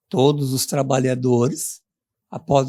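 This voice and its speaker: This man speaks at a very slow pace, his medium-pitched voice somewhat breathy. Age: 70s. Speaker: retired university professor, union representative. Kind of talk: interview.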